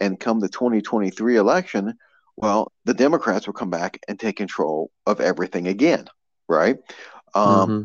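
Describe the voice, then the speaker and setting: A man with an American accent has a plain, everyday voice, a fairly low pitch and ordinary pitch variation. He speaks at a moderate pace, in a dry, close sound with no echo and a quiet background. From Maryland. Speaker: political activist, grassroots group director. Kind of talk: casual interview.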